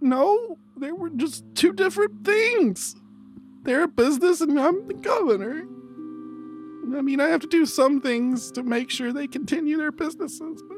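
A put-on character voice with a high pitch moves at a moderate pace. Clear music plays in the background.

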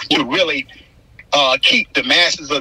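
The sound is dry and close, with no echo. A man speaks over noticeable background noise. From Florida, St. Petersburg. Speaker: activist and author. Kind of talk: interview.

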